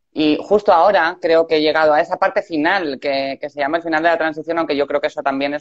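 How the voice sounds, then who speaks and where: Very fast speech with fairly even intonation, recorded with a dry, close sound and no echo. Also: woman. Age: 40s. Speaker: entertainer. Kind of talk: conversation.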